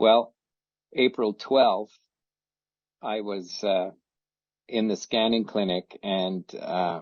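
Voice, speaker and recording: A man's fairly low voice at a very slow pace, with long, frequent pauses and fairly even intonation. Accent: Canadian. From Canada (Ottawa, Ontario). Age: 70s. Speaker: testimonial speaker. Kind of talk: testimony. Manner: halting, many fillers.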